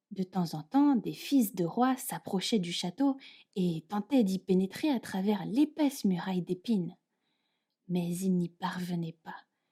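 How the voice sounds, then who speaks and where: A woman speaks very slowly in a dark, mellow, somewhat breathy tone at medium pitch. The sound is dry and close, with no echo. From France. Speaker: French teacher. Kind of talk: fairy tale reading.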